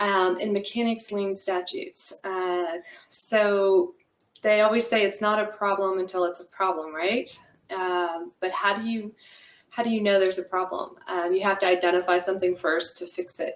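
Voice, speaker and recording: Speaking at a moderate pace with an American accent, a woman keeps a medium pitch and fairly even intonation. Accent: Texas accent, comes out when comfortable. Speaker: construction lawyer. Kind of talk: webinar presentation. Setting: video call from home office.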